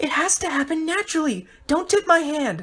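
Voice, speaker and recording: This is a squeaky, put-on character voice. It moves at a moderate pace. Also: female-sounding voice. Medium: read story.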